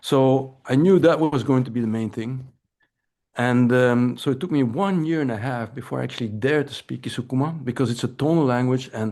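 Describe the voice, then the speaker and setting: In a European accent, a man talks at a fairly quick pace and a medium pitch with ordinary pitch variation. His tone is dark and mellow, and the background is quiet. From Belgium. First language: Dutch. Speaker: anthropology professor. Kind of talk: lecture. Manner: halting, with frequent repetitions.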